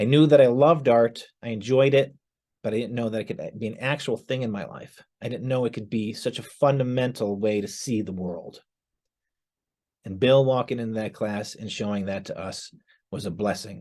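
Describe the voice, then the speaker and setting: With a dark, mellow tone and an American accent, a man talks with ordinary pitch variation and big swings in loudness against a quiet background. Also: medium pitch for a man, moderate pace. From northeastern Pennsylvania (Scranton). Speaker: former art student. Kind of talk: testimony.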